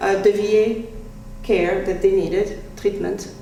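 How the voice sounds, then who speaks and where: A woman with a French accent talks at a medium pitch, with audible room echo and noticeable background noise. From France. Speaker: speaker. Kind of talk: talk to a small group. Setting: small group audience.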